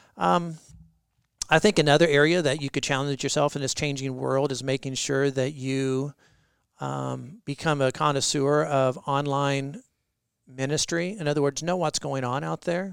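A plain, everyday voice, a man at a fairly high pitch with fairly even intonation and a moderate pace, in a very clean recording with a silent background. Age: 40s. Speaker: pastor. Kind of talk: interview.

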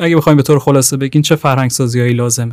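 Fairly high in pitch, a man uses a normal speaking voice with fairly even intonation. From Iran, Tehran. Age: 20s. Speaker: podcast host, graduate student. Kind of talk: interview; scripted narration.

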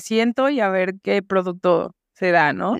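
At a very slow pace, a woman speaks with lively intonation. The sound is dry and close with no echo, over a quiet background. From Mexico, Guadalajara. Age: 40s. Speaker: podcast host. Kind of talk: casual interview chat.

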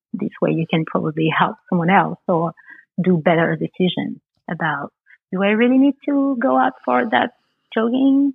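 A woman speaks in a Parisian accent, her pitch swinging very widely, with long, frequent pauses. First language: French. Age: 30s. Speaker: makeup artist. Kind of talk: casual chat.

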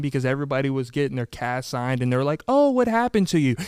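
A man speaks in an animated tone. The recording is very clean, silent in the background, with a dry, close sound and no echo. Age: 20s. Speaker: podcast host. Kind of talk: casual chat.

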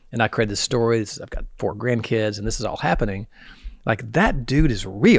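A fairly quick pace in a Southern US accent. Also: man, medium pitch for a man, ordinary pitch variation. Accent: Southern US, mild. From US South. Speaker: podcast host. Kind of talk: casual interview chat.

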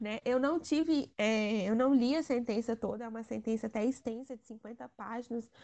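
A woman's fairly high, dark, mellow voice at a moderate pace, with fairly even intonation, big swings in loudness and a quiet background. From Brazil, Timóteo, Minas Gerais. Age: 20s. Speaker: lawyer and local political candidate. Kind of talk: podcast interview.

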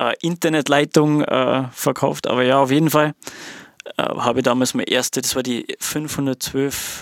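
A man speaks at a moderate pace and medium pitch, in a monotone, flat delivery. The sound is dry and close, with no echo. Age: 30s. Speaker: music producer and DJ. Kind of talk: casual chat.

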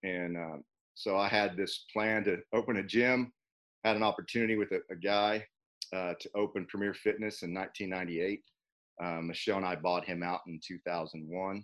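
A man with a plain, everyday voice speaks at a moderate pace in a fairly low pitch, his intonation fairly even against a quiet background. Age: 40s. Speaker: personal trainer and gym owner. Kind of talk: casual interview.

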